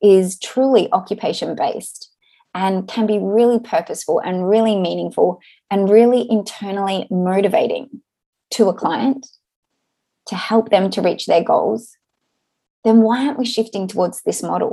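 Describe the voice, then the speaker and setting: With an Australian accent, a woman speaks at a moderate pace in a dark, mellow tone, her pitch fairly high and its variation ordinary. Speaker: podcast host, occupational therapist. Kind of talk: solo podcast monologue, event promotion.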